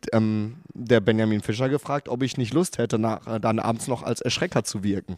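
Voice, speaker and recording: A man talks at a moderate pace with ordinary pitch variation. The sound is dry and close with no echo, on a very clean recording with a silent background. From Ruhr area, Germany (Gelsenkirchen/Wattenscheid). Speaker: theme park manager. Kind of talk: interview. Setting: museum room.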